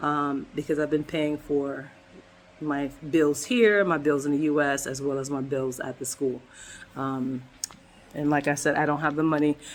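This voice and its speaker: At a moderate pace, a woman with a very deep, low pitch talks in fairly even intonation, leaving long, frequent pauses. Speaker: vlogger, medical student. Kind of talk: personal vlog update. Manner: halting, many fillers.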